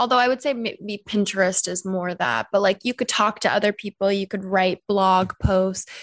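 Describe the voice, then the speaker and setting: A woman with an American accent speaks at medium pitch with fairly even intonation in a plain, everyday voice. The recording is very clean with a silent background, and the sound is dry and close with no echo. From US Pacific Northwest, Seattle. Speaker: sex educator and podcast host. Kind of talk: casual interview chat.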